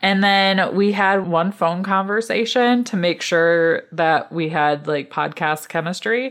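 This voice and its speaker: A fairly slow delivery with hardly any pauses and very even loudness. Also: woman, medium pitch for a woman, ordinary pitch variation. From Michigan, US. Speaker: hobby farmer and podcast host. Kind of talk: casual interview chat. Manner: animated, laughs often.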